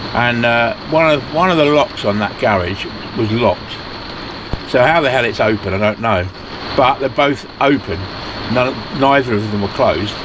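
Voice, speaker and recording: A moderate pace with long, frequent pauses, very even loudness and ordinary pitch variation, with a British accent and noticeable background noise. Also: man, medium pitch for a man. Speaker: van life vlogger. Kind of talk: casual vlog chat. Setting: outdoors.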